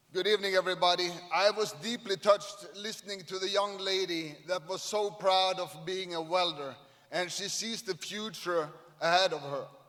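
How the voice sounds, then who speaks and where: Through noticeable background noise comes a man's high-pitched voice with fairly even intonation. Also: moderate pace. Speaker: shipyard CEO. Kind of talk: ceremony speech. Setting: stage at event with audience.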